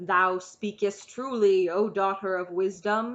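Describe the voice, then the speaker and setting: Put-on character voice, female-sounding, middle pitch, fairly slow pace. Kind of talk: archaic, formal.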